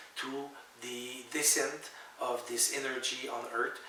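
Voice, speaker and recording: A man talks at a medium pitch over noticeable background noise, with audible echo from the room. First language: French. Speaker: author. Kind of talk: spiritual monologue to camera. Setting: at home. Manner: halting, many fillers.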